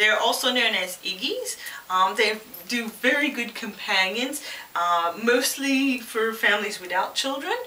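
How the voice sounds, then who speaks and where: Against noticeable background noise and audible room echo, a woman speaks at a fairly slow pace with a fairly high pitch and ordinary pitch variation. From Quebec, Canada. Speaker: pet product reviewer. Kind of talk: casual vlog introduction. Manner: hesitant, many fillers.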